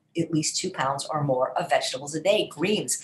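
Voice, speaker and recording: A woman's fairly low, somewhat breathy voice at a fairly quick pace. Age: 60s. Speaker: wellness program host, chef. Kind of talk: live Q&A session. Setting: live video stream with chat.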